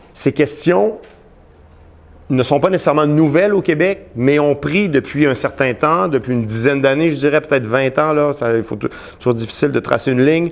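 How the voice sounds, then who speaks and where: The man, pitched fairly high, speaks at a moderate pace with ordinary pitch variation. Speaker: sociology professor giving a talk. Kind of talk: lecture. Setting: conference room with live audience. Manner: hesitant, many fillers and repetitions.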